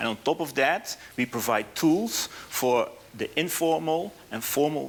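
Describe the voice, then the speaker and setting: A man talks very slowly with a Dutch accent and lively intonation. Noticeable background noise runs under his voice. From Netherlands. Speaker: business speaker, app founder. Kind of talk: conference presentation. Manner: halting, with fillers and restarts.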